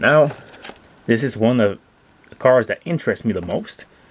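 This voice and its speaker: Noticeable background noise accompanies a man who speaks at a very slow pace and a medium pitch. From Quebec. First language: French. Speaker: toy car collector and reviewer. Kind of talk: product review. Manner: animated.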